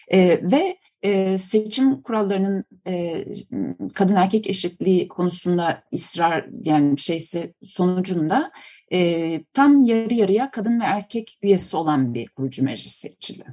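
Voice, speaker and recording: A woman's medium-pitched voice, dark and mellow in tone, at a fairly slow pace. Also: lively intonation. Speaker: political science professor. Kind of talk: interview. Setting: remote call. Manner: halting, many fillers.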